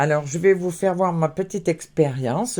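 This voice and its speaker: A woman's voice, fairly low in pitch. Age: 60s. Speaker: craft vlogger. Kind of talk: casual vlog. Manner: hesitant, many fillers.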